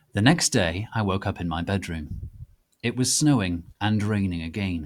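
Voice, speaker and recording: A man talks at a moderate pace with lively intonation in a plain, everyday voice. The recording is very clean, with a silent background. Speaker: dramatic reader of fanfiction. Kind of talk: dramatic reading of a story.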